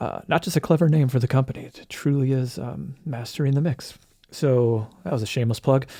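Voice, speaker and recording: A man talks at a fairly quick pace in a fairly high voice that is dark, mellow and somewhat breathy. The recording is very clean, with a silent background. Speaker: musician and music producer. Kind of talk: casual commentary. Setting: self-recorded audio. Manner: hesitant, many fillers.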